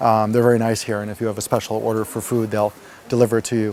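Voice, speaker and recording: The speaker has a New York accent. Noticeable background noise can be heard. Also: man. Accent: New York American. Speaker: retreat participant. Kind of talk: testimony. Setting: interview at a retreat center. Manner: fast.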